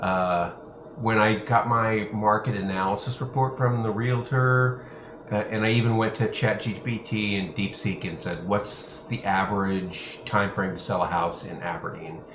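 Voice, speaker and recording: Over noticeable background noise and audible room echo, a man with a fairly low pitch speaks at a moderate pace. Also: ordinary pitch variation. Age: 60s. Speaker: vlogger. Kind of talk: casual video update. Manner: halting, many fillers.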